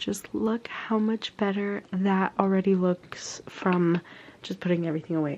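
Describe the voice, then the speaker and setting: Using a plain, everyday voice, a woman talks with fairly even intonation at a medium pitch. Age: 20s. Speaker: lifestyle vlogger. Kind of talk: vlog, casual talk to camera. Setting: at home and at a park, in a car. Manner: chatty, informal.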